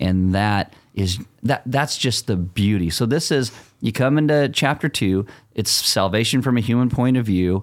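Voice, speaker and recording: Man's fairly low voice, a plain, everyday voice with ordinary pitch variation. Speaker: pastor. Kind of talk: casual chat.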